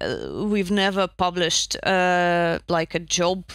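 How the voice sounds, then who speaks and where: Speaking at a fairly slow pace, a woman with a Russian accent has a bright, sharp tone. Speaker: narrative designer. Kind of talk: casual chat. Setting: video call.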